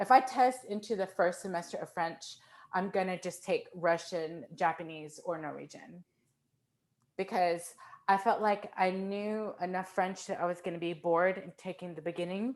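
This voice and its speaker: A woman's plain, everyday voice in an American accent, medium in pitch with ordinary pitch variation. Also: moderate pace. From US, Fort Worth, Texas. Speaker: composer. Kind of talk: casual chat.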